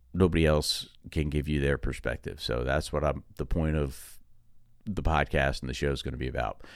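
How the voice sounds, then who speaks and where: A man with an American accent, a very deep, low pitch, vocal fry, and a moderate pace. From New Jersey, Long Valley. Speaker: podcast host, real estate agent. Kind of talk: casual monologue. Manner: halting.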